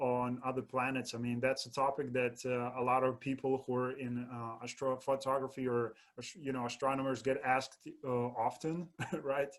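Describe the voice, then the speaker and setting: A man's medium-pitched, ordinary speaking voice at a moderate speed. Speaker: podcast host. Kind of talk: interview host talk.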